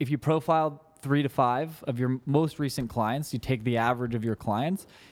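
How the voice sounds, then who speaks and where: A man's plain, everyday voice, medium in pitch, at a fairly quick pace with ordinary pitch variation, on a very clean recording with a silent background. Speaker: social media marketing business owner. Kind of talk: casual interview.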